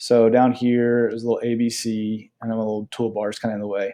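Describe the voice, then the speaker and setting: A man's medium-pitched voice, dark and mellow in tone, on a very clean recording with a silent background. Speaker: middle school math teacher. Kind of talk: tutorial. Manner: fast; casual.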